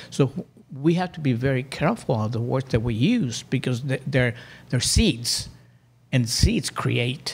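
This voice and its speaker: Ordinary pitch variation in a somewhat breathy delivery. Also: man. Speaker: life coach. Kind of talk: casual chat. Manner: slow, calm; halting.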